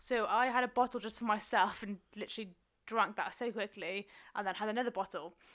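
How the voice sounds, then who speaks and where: Fairly even intonation comes with an ordinary speaking voice at a fairly quick pace. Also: woman, fairly high pitch for a woman. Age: 20s. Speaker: podcast co-host. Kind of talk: casual chat. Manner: laughs often.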